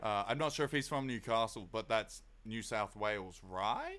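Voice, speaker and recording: Speaking fairly slowly in an Australian accent, a man has a bright, sharp tone. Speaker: music producer streamer. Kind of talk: live stream tutorial. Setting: live stream. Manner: casual.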